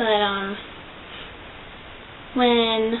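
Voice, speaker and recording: A quiet woman's voice with fairly even intonation, audible room echo and noticeable background noise. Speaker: vlogger. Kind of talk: casual vlog monologue. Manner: quiet, subdued.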